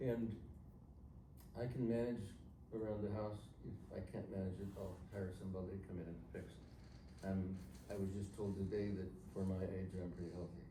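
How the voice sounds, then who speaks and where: With a very deep, low pitch and ordinary pitch variation, a man talks at a moderate pace with long, frequent pauses, amid audible room echo and noticeable background noise. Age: 70s. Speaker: seminar attendee, retired doctor. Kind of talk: audience discussion at a seminar.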